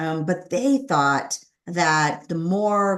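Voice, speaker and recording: A woman with a Californian accent. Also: quiet background. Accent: General American, Californian. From Southern California, Los Angeles area. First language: Spanish. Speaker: author and former corporate lawyer. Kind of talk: interview about personal story.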